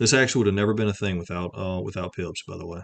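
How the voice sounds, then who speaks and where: Against a quiet background, a man with an unremarkable speaking voice talks in a fairly low pitch with fairly even intonation. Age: 30s. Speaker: stock trading streamer. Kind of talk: live stream chat about stock charts. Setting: live stream on laptop.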